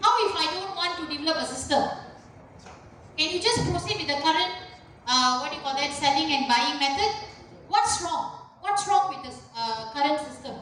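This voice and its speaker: A woman speaks at a high pitch and moderate pace with lively intonation, big swings in loudness and long, frequent pauses, all within audible room echo. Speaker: university lecturer. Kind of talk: lecture.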